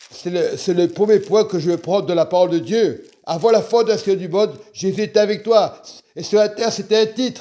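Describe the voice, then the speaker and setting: Dark and mellow in tone, a man's high-pitched voice moves at a fairly slow pace. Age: 60s. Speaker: preacher. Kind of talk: sermon. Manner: halting.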